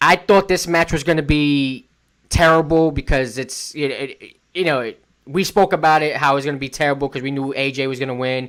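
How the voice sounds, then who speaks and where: A man in a plain, everyday voice speaks at a fairly quick pace, his pitch fairly high with ordinary variation. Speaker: podcast host. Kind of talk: casual wrestling podcast discussion.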